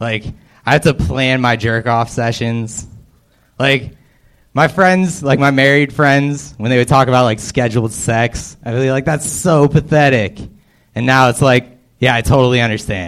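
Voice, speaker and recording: An American accent from a man with an ordinary speaking voice, medium pitch, ordinary pitch variation and a moderate pace. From Erie, Pennsylvania. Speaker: stand-up comedian. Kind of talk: stand-up.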